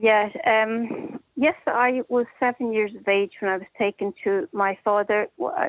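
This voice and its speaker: A woman with a Dublin accent, fairly high in pitch, at a fairly slow pace with ordinary pitch variation. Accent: Dublin Irish. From Ireland, Dublin. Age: 60s. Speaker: caller, institution survivor. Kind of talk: personal testimony on talk radio.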